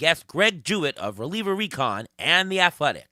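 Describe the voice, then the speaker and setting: A man speaks in a high, raised, projected voice with very wide pitch swings and a bright, sharp tone. The pace is moderate, and the very clean recording is dry and close with no echo and a silent background. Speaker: fantasy baseball podcast host. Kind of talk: casual podcast chat. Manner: many filler words.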